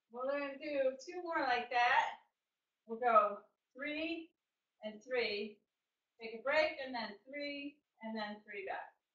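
Over a quiet background with audible room echo, a woman speaks at a very slow pace in a high pitch and an upbeat tone, with big swings in loudness and long, frequent pauses. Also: lively intonation. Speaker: fitness instructor. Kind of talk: live online group fitness class, cueing exercises. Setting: online video class. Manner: upbeat, encouraging, brisk rhythmic cues with counting; clear and instructive, praising with 'good'. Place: home room. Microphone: webcam.

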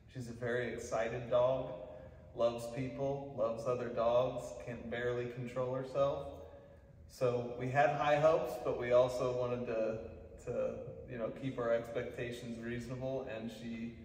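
A man talks at a moderate pace in a monotone, flat delivery. Light background noise and audible room echo are present. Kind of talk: testimonial interview answer. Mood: pleased, grateful. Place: hall. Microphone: camera far.

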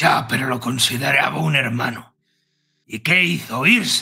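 Someone talks at a moderate pace in a raspy, put-on character voice. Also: man, medium pitch for a man. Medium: actual play. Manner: bitter, growling, resentful.

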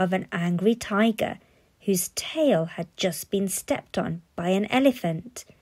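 What you hear is plain reading aloud.

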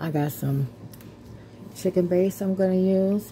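Light background noise sits behind a woman speaking at a moderate pace. Her pitch is fairly low and her intonation fairly even. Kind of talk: casual cooking tutorial. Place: kitchen. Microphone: phone near.

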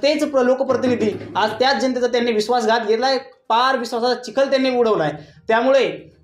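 Audible room echo surrounds a man speaking at an extremely high pitch. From Jalna district, Marathwada, Maharashtra, India; Maharashtra. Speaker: medical student; student giving statement to news channel. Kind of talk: interview. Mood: earnest, politically passionate.

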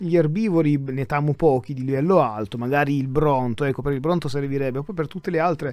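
A man speaks at a fairly quick pace. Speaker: gaming YouTuber. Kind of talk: gameplay commentary. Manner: soft-spoken; halting.

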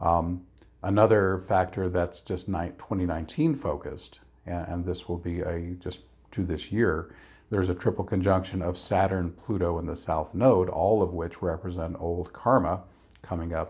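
Against a quiet background, a man speaks at a fairly slow pace in a very deep, low, somewhat breathy voice with fairly even intonation. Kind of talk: explanatory talk to camera. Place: home room.

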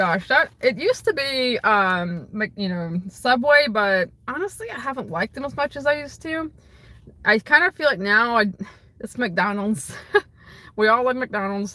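A woman's bright, sharp tone with big swings in loudness. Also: moderate pace, dry sound with no echo. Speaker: streamer answering viewer questions. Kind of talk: casual livestream Q&A chat. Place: car. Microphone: phone near.

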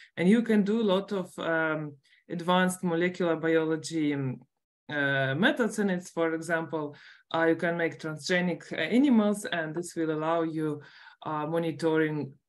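Talking at a moderate pace, a woman uses a fairly low pitch with ordinary pitch variation. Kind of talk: lecture. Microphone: webcam.

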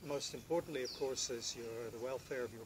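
Noticeable background noise sits behind a man speaking. He goes at a very fast pace with fairly even intonation. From Britain. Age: 50s. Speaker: professional house sitter. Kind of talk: self-introduction to camera. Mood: calm, friendly, earnest. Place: garden.

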